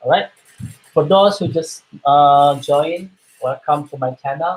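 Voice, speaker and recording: Here a man is talking. His voice is somewhat breathy. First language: Indonesian. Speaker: art teacher for children. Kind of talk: live-stream art tutorial. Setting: live stream webinar. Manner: hesitant, many fillers.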